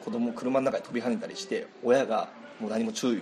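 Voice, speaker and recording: Amid noticeable background noise and audible room echo, a man with a fairly high voice swings very widely in pitch. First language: Japanese. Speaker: podcast host. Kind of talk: casual chat.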